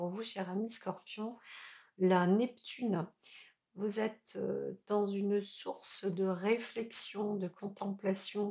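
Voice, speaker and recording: In a dark, mellow tone, a woman speaks very slowly at a medium pitch with monotone, flat intonation. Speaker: tarot reader / astrologer. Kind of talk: tarot reading for viewers. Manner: hesitant, many fillers.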